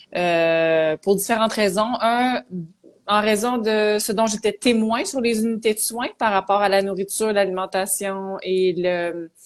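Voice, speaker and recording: A woman with a Quebec accent, medium in pitch, very slow, with ordinary pitch variation. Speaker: psychologist. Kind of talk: interview.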